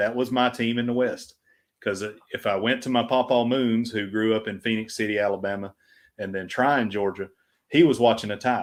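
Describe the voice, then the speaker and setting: Speaking in a Southern US accent, a man keeps a fairly quick pace. His pitch is medium and his intonation fairly even. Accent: Southern American. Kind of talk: casual, conversational.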